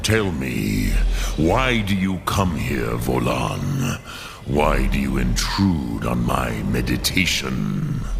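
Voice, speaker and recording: The speaker uses a put-on character voice at a very slow pace. Loud background noise fills the recording. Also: man. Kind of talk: epic fantasy gravitas. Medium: machinima. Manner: slow, solemn, measured.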